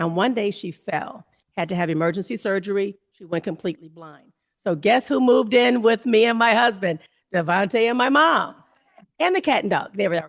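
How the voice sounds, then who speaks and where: With a plain, everyday voice at medium pitch, a woman talks at a fairly quick pace, her intonation lively and her loudness swinging widely. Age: 60s. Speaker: family caregiver and panelist. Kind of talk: panel discussion.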